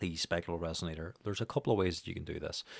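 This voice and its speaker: In a very clean recording with a silent background, a man speaks with a very deep, low pitch and fairly even intonation. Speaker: music production teacher. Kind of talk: tutorial. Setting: home studio, speaking into microphone. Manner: casual, many fillers.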